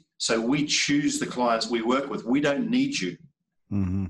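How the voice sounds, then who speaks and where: This speaker has a New Zealand accent. He is a man and keeps a fairly slow pace. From New Zealand, North Island. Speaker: sales trainer. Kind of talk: casual interview. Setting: video call.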